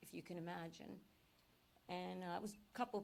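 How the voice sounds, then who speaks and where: A woman with a fairly low pitch speaks at a moderate pace in an American accent. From Philadelphia area, Pennsylvania. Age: 60s. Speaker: public commenter. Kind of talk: public comment at a town meeting. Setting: municipal meeting room. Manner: animated.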